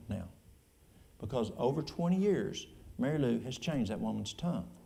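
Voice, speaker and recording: A man talks at a moderate pace with an East Tennessee accent. Audible room echo surrounds his voice. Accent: East Tennessee Appalachian. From East Tennessee, Appalachia. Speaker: church elder and health food store owner. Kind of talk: question and answer session. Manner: casual, folksy.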